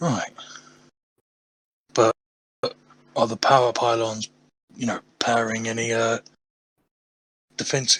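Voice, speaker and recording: A put-on character voice, raspy and monotone with flat intonation, moves at a moderate pace through long, frequent pauses, with a dry, close sound and no echo. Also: man, medium pitch for a man. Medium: actual play. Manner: blunt, decisive.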